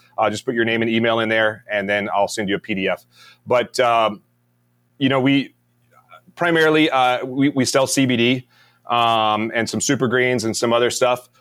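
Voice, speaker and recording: At a moderate pace, a man with an American accent talks at a medium pitch with fairly even intonation in an ordinary speaking voice. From US South, Mississippi. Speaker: retired navy special forces, business founder. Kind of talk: interview, casual chat.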